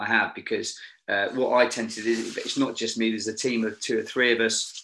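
Against a quiet background, a man speaks with a British accent. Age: 50s. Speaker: former Royal Marine, TV location scout and safety manager; podcast guest. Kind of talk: casual chat. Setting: video call. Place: home room. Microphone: video call.

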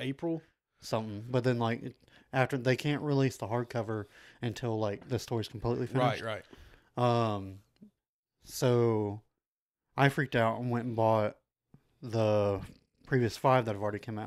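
Against a quiet background, a man speaks with fairly even intonation and long, frequent pauses. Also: moderate pace. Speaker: podcast co-host. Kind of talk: casual podcast chat. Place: home room. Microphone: studio mic.

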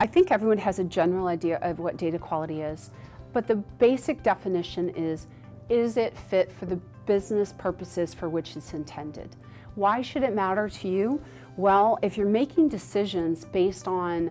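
Faint music sits behind a woman speaking at a moderate pace. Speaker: conference speaker. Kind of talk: promotional explainer to camera. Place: studio.

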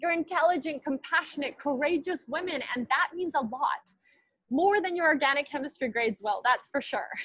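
A woman's high-pitched voice, lively in intonation and fairly quick, dry with no echo over a quiet background. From Manitoba, Canada. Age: 20s. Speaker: alumna keynote speaker; keynote speaker. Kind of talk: commencement speech. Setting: video call. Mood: warm, encouraging, light humor. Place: home room. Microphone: earbuds.

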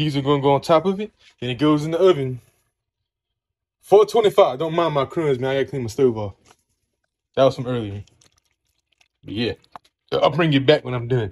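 Moving at a fairly quick pace, a man talks with big swings in loudness. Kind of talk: casual vlog chat. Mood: upbeat and friendly. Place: kitchen. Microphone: phone near.

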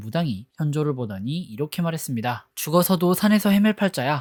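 The recording is very clean and the background silent. Delivery is fairly quick. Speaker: film and drama review youtuber. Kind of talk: scripted narration. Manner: formal.

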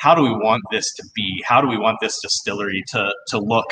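A man speaks with a General American accent over light background noise. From US. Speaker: distillery founder; guest. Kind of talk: casual live-stream interview.

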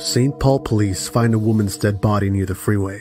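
A man's fairly low voice is heard with music in the background. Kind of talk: true crime documentary narration.

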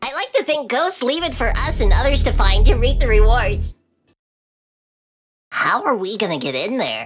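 A high-pitched cartoonish character voice moves at a moderate pace, broken by long, frequent pauses. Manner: upbeat.

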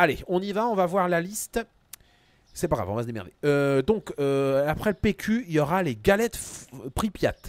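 A man speaks in an animated tone at a high pitch, with very wide pitch swings. The sound is dry, with no echo. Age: 40s. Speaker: gaming streamer. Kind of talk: live gaming stream. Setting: home studio. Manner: casual, animated. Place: home room.

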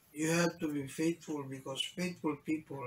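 This man speaks with a Filipino accent at a fairly high pitch. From Philippines. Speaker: bishop and preacher. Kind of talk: sermon in Taglish; rousing sermon, rhetorical questions to congregation. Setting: church. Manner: emphatic, repeating phrases for emphasis; urgent, exhorting, pleading. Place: office.

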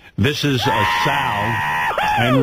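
Noticeable background noise runs under the recording. A man speaks with very wide pitch swings. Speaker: prank call show host. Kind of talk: casual chat. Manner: animated.

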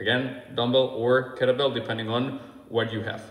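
There is audible room echo around a man's voice. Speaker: fitness coach. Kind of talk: tutorial. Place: gym. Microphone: phone near.

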